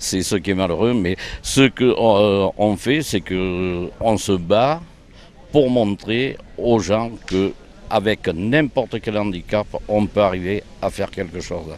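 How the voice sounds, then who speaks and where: Speaking very slowly, a man uses a fairly low pitch with ordinary pitch variation. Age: 60s. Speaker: blind pétanque player. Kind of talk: interview. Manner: hesitant.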